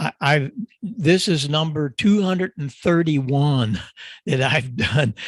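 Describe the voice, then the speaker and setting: Speaking very slowly, a man uses a fairly high, somewhat breathy voice with lively intonation. The sound is dry and close, with no echo. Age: 80s+. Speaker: audio engineer and ham radio expert. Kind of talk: ham radio chat.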